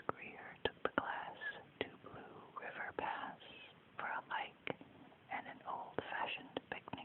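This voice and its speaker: Very slowly, someone whispers while noticeable background noise carries on. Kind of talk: whispered ASMR children's story reading. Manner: whispered, soft.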